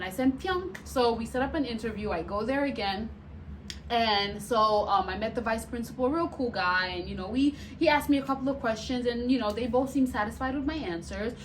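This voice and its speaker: With audible room echo, a woman talks at a fairly quick pace in an animated tone, her fairly high voice rising and falling with lively intonation. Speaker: vlogger and nurse. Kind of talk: casual storytelling vlog. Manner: loud.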